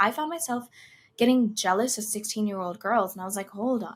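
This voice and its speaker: A soft-spoken woman talks at a moderate pace in a fairly high, somewhat breathy voice. Her intonation is lively. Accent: American. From United States. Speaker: singer and content creator. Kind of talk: podcast interview answer.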